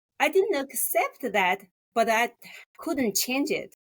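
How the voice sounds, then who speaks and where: The speaker has a Chinese accent. The pitch swings very widely. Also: woman. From rural China. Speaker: graphic designer. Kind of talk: interview. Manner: halting.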